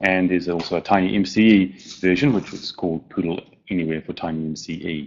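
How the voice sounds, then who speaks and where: A man with a New Zealand accent, a very deep, low pitch, ordinary pitch variation and a very fast pace. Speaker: software plugin developer. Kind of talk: conference presentation.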